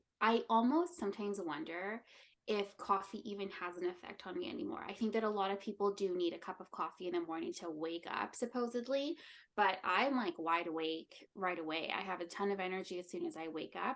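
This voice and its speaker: A fairly quick pace with lively intonation, in a Canadian accent. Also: woman. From Canada. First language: Spanish. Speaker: content and branding specialist. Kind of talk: casual chat.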